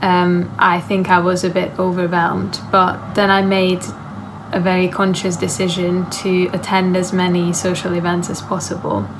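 The voice moves at a moderate pace with monotone, flat intonation over noticeable background noise. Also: woman. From Hungary. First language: Hungarian. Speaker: university student. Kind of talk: interview answer. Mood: calm, friendly, reflective. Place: home room. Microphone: phone near.

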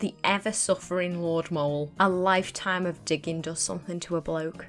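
Over music in the background, a woman with a Northern English accent speaks at a moderate pace, her fairly low voice keeping a fairly even intonation. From Northern England. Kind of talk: comedic video game commentary.

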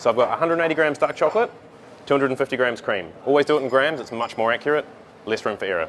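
A man is speaking. Noticeable background noise is present. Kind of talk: tutorial. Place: cafe.

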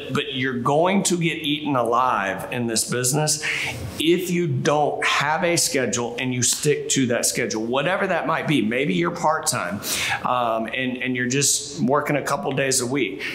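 Light background noise and audible room echo around a man at a moderate pace. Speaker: sales team trainer. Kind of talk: training talk to camera. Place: office.

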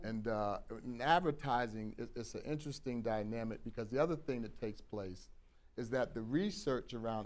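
A man speaks with an American accent. His pace is fairly quick and his pitch variation ordinary. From US Northeast. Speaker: diversity consultant; guest. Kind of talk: panel discussion. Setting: studio with audience. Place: studio. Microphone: lapel.

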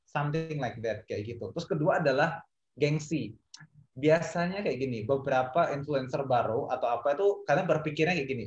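A man talks at a fairly quick pace in a somewhat breathy voice, with audible room echo around him. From East Java, Indonesia (Kediri). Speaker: esports industry professional. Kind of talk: panel discussion. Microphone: video call.

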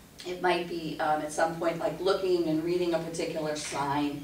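There is audible room echo and light background noise as a woman speaks at a very deep, low pitch. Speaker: class instructor. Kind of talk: lecture. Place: meeting room.

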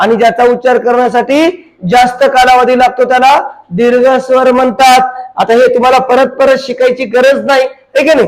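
Speaking in a Marathwada accent, the man has an extremely high pitch and a monotone, flat intonation. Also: very even loudness. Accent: Marathwada Marathi dialect. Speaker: teacher. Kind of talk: grammar lesson for exam students. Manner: colloquial, folksy.

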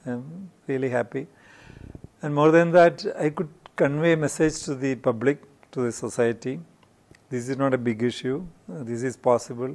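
With a Keralan accent, a man speaks at a moderate pace, leaving long, frequent pauses. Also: ordinary pitch variation. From India, Kerala. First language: Malayalam. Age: 60s. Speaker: industrialist; interviewee. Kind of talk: interview. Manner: halting. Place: studio. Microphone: lapel.

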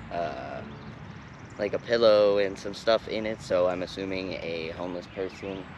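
A man speaks at a moderate pace in a fairly low pitch with fairly even intonation. Noticeable background noise is present, and the sound is dry with no echo. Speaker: urban explorer vlogger. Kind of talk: casual vlog chat. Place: open country.

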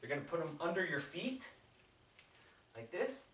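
Upbeat and fairly high-pitched, a man talks with audible room echo and light background noise. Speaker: fitness instructor. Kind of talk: guided follow-along workout tutorial. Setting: home workout video, demonstrating exercises. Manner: upbeat, encouraging, coaching with countdown cues; casual, conversational, with fillers. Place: home room. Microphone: camera far.

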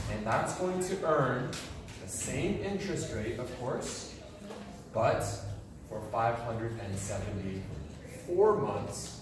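A man's voice with strong room echo and noticeable background noise. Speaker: high school teacher. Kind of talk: lecture. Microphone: camera far.

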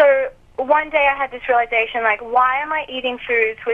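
A woman speaks in an Australian accent at a fairly quick pace. Her high-pitched voice keeps a fairly even intonation. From Australia (Alice Springs, outback). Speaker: diet author and founder. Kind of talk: interview.

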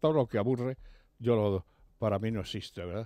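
With a dark, mellow tone, a man speaks in a dry sound with no echo over a quiet background. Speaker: radio guest commentator. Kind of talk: radio commentary. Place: studio. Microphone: studio mic.

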